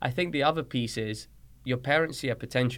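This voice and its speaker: Speaking at a moderate pace, a man with a London accent keeps a medium pitch and fairly even intonation. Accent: British (London) English. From Colombia, raised in London from age six. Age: 30s. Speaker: soccer coach and trainer. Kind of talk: casual interview.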